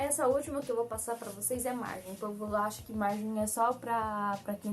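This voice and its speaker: Music plays in the background as a woman speaks at a moderate pace, her fairly high pitch moving with fairly even intonation. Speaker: graphic designer, tutorial youtuber. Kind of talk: tutorial.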